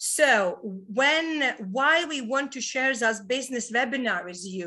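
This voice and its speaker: At a very slow pace, a woman with a Latvian accent projects a raised, high voice with a bright, sharp tone and very wide pitch swings over a quiet background. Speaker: webinar host, network marketer. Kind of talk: business webinar presentation. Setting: online webinar. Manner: hesitant, many fillers.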